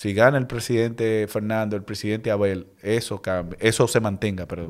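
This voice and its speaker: A man with a fairly low pitch talks at a moderate pace with fairly even intonation. It is an ordinary speaking voice, heard over a quiet background. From Dominican Republic. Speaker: political candidate; podcast guest, candidate. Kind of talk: interview. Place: studio. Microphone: studio mic.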